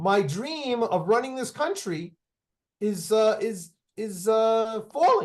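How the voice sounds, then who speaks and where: A man speaks very slowly in a high voice, his intonation lively. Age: 60s. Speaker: activist and company founder. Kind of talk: interview conversation. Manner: halting, many restarts.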